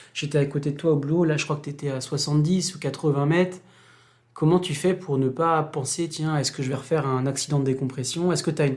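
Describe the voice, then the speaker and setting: The background is silent, and the recording is very clean. The talking goes at a very fast pace. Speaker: podcast host. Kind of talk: podcast interview questions.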